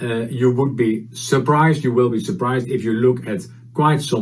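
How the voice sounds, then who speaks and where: A somewhat breathy man speaks with a Dutch accent, with audible room echo. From Netherlands. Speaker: HR consultant and conference speaker. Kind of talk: conference presentation. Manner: halting, many fillers.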